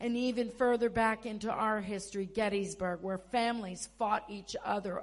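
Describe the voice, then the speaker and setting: With an American accent, a woman talks in a plain, everyday voice pitched fairly high. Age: 60s. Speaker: pastor. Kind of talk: sermon. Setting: church.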